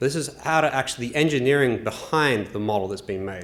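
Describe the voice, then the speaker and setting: An Australian-accented man with a medium pitch speaks at a fairly quick pace, his voice carrying audible room echo. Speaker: transportation engineer. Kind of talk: conference presentation.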